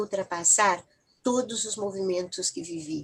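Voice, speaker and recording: A somewhat breathy woman speaks with lively intonation. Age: 70s. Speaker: family therapist and book chapter author. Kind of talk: interview. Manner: reflective, with hesitations.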